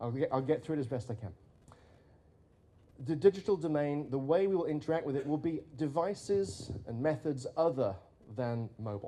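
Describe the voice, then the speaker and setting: With a strong British accent, a man speaks at a fairly quick pace and fairly high pitch, his tone dark and mellow and his intonation lively, with long, frequent pauses. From Britain. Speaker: futurist, conference speaker. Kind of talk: conference keynote talk.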